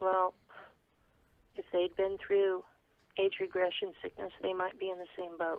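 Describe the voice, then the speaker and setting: Long, frequent pauses break up this woman's speech. Her pace is fairly slow. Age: 60s. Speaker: claimed secret space program veteran. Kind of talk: interview. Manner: halting.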